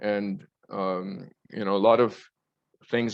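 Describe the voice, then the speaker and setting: This man has a fairly low pitch and ordinary pitch variation. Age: 60s. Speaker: spiritual speaker. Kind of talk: talk on spirituality. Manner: halting.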